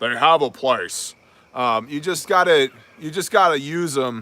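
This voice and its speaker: In a gruff, put-on character voice, a man talks at a moderate pace and a fairly high pitch. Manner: gruff, tough-guy.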